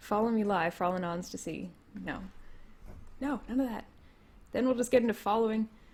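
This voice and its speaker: A woman in a Canadian accent, somewhat breathy and fairly high-pitched, with ordinary pitch variation and long, frequent pauses. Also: fairly quick pace. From Canada. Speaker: political commentator streamer. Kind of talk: casual livestream chat. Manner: halting, many fillers.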